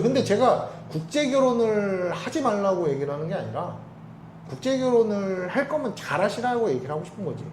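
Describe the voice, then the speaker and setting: A man's high-pitched voice with very wide pitch swings, amid noticeable background noise and audible room echo. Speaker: international marriage broker. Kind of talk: casual chat. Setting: coffee shop office. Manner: fast; forceful.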